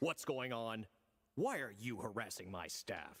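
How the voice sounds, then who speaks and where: A man speaks in a cartoonish character voice. His pitch is medium, and his pace is moderate. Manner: calm, condescending.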